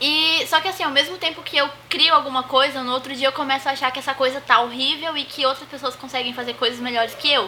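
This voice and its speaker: A woman speaks at a very fast pace in a raised, projected, high voice, with fairly even intonation, hardly any pauses, and noticeable background noise. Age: 20s. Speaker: host's sister, unemployed. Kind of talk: casual chat.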